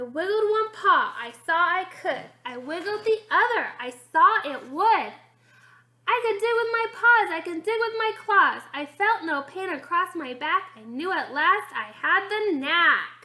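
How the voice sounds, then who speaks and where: A put-on character voice carries the speech. It moves along at a moderate pace. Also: woman, extremely high pitch for a woman. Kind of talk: bedtime story reading. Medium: read story.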